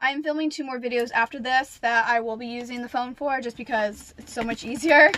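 Over light background noise, a woman projects a raised voice at a fairly quick pace. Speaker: vlogger. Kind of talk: casual vlog chat. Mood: excited. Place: home room. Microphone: phone near.

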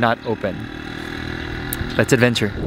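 A man talking at a very fast pace, dry with no echo, over noticeable background noise. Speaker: travel vlogger. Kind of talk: casual vlog chat. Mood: upbeat, adventurous. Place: street. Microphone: phone near.

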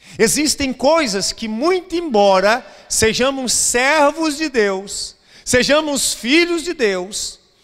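Against a quiet background, a man with a Brazilian accent speaks at a very slow pace in an extremely high pitch. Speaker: pastor. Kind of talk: sermon. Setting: church. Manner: emphatic, urgent preacher in full flow, repeating phrases for effect; exhorting, direct appeals to the congregation. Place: church. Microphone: handheld.

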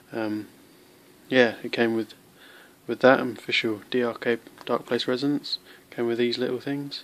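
A man's medium-pitched voice in a British accent, fairly slow and monotone, with flat intonation and long, frequent pauses. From UK. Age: young. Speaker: knife reviewer. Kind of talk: product review. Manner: halting. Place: home room. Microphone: phone near.

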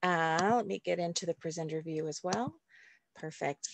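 The recording of this woman is dry with no echo over a quiet background. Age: 50s. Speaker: reverend and nonprofit organizer. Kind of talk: presentation and talk. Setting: video call. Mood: calm, inclusive. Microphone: video call.

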